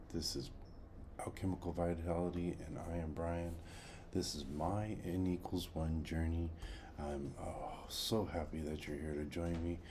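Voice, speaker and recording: A man with a very deep, low pitch and a dark, mellow tone speaks quietly and somewhat breathily. His intonation is fairly even, his pace moderate, and audible room echo surrounds him. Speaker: health journey vlogger. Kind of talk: casual video diary. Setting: at home.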